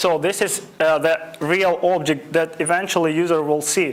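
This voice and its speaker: A high-pitched male voice in flat, monotone intonation with audible room echo. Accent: non-native. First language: not English. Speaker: web development instructor. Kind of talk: lecture. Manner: halting, many fillers.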